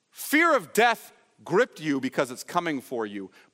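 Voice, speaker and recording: A man's bright, sharp voice with vocal fry and very wide pitch swings, at a moderate pace on a very clean recording with a silent background. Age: 50s. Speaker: pastor. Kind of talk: sermon. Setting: church.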